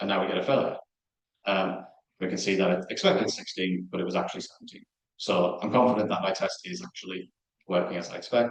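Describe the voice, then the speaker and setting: A man at a fairly quick pace, with fairly even intonation. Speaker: research software engineer, conference speaker. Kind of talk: conference talk with live coding demo. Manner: fast; hesitant, many fillers.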